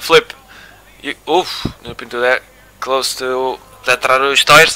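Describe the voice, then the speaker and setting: A man with a Madeiran accent speaks at a medium pitch with fairly even intonation. Noticeable background noise runs underneath. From Madeira, Portugal. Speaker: sim racing commentator. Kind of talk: live commentary.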